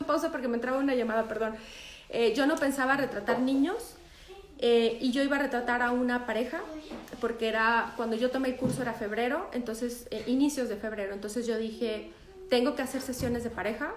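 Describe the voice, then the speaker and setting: A woman talks at a fairly quick pace with a high pitch. Audible room echo and noticeable background noise surround her voice. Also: ordinary pitch variation. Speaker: photographer. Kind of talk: live stream talk.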